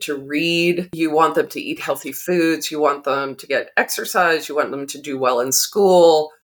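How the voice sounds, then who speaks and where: With an American accent, a woman talks at a fairly slow pace in a fairly low pitch. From Massachusetts (Arlington, outside Boston). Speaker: author and drama therapist. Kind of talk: interview. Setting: podcast recording.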